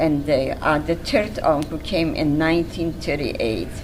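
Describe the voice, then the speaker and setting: A woman with a fairly low pitch speaks at a very slow pace, with noticeable background noise and audible room echo. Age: 90s. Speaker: Holocaust survivor. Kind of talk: testimony interview. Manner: halting.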